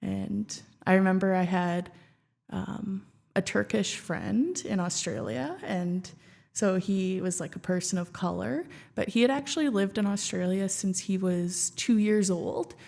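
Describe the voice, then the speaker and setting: In a Canadian accent, a woman speaks at a fairly slow pace with a medium pitch and ordinary pitch variation. Her tone is dark and mellow, and the recording is very clean with a silent background. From Canada (Regina, Saskatchewan). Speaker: former student union president and app co-creator. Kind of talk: podcast interview. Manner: casual, filler-heavy.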